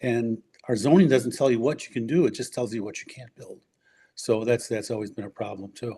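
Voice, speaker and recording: A man's medium-pitched, dark, mellow voice at a fairly quick pace with an American accent, ordinary pitch variation and big swings in loudness. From US Midwest, Forest Park, Illinois. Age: 70s. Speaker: urban-planning scholar and former school board member. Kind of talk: podcast interview. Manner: halting, with frequent fillers and restarts.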